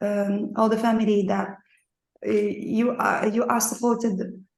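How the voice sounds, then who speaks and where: In audible room echo, a woman with a fairly high voice speaks at a moderate pace. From Morocco. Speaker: painter and dance researcher. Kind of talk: online seminar audience comment. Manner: halting.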